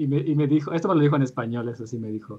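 With ordinary pitch variation, a man talks in a fairly high register. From Michoacán, Mexico (Lázaro Cárdenas). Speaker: podcast guest. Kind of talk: casual chat.

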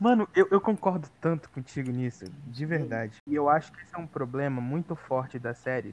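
A man talks at a fairly quick pace in a plain, everyday voice with a fairly high pitch. His intonation is lively, and his loudness swings widely. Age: 20s. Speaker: film student. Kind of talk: casual chat.

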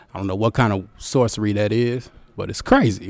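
A man with a normal speaking voice, fairly low in pitch with fairly even intonation, in a very clean recording with a silent background. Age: 30s. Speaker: hip-hop artist. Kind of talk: interview. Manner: laid-back, laughing often.

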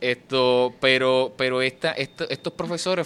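Fairly even intonation runs through this man's fairly high-pitched voice. It is a plain, everyday voice. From Puerto Rico, Fajardo. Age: 20s. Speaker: poet and writer. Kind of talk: interview.

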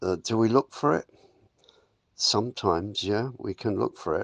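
A man with an English accent at a moderate pace, over a quiet background. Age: 80s+. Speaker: yoga and wellness facilitator. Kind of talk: spiritual self-help talk.

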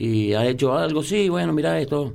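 With audible room echo, a man talks at a moderate pace, his pitch swinging very widely. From San Juan, Argentina. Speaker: bartender. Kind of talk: casual interview.

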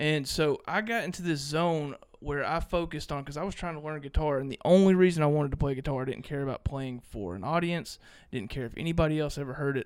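A man talks very fast in a fairly high pitch with ordinary pitch variation, on a very clean recording with a silent background. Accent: Mississippi. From Mississippi, US South. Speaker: podcast guest, guitarist. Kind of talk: casual chat.

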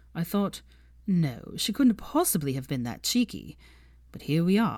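A woman uses a put-on character voice with a fairly low pitch, big pitch swings and a slightly mellow tone. She speaks at a fairly slow pace on a very clean recording with a silent background.

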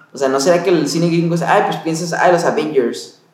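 A man's voice carries audible room echo. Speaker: podcast co-host, film crew worker. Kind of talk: casual film discussion chat. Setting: hotel room.

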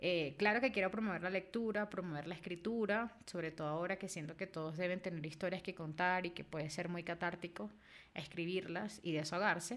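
Fairly low in pitch, a woman talks at a fairly quick pace with ordinary pitch variation. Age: 30s. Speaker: book editor and podcast host. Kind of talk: casual monologue. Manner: frequent fillers and repetitions.

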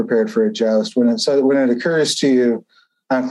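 The setting is quiet. A reading voice comes through unforced.

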